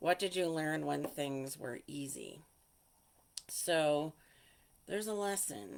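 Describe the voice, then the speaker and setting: Speaking at a very slow pace with long, frequent pauses, a woman uses a very deep, low pitch. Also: lively intonation. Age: 60s. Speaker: healing coach and meditation guide. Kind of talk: casual talk to camera. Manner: informal, with fillers.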